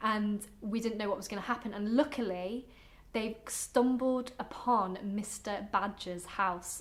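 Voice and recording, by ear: Pitch shifts in an ordinary way. The text is read aloud in a natural voice.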